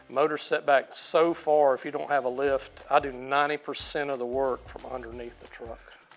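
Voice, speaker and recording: Fairly high male voice, flat and monotone, at a moderate pace with big swings in loudness over background music. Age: 60s. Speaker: drag racing hobbyist. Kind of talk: casual interview.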